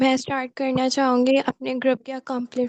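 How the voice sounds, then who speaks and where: A woman is talking. Her pace is fairly slow. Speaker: student volunteer, media team advisor. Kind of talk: online meeting report. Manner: hesitant, many fillers.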